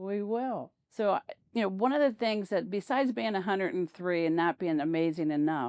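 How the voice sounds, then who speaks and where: In a dry, close recording with no echo, a woman with an unremarkable speaking voice talks at a medium pitch with lively intonation. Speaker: local history interviewer. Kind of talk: interview questions.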